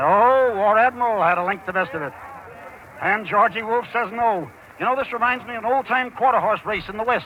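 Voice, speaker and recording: An excited, high-pitched man at a fairly quick pace, ordinary pitch variation, and noticeable background noise. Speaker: sportscaster. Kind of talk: live horse race call. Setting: outdoors. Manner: fast, excited.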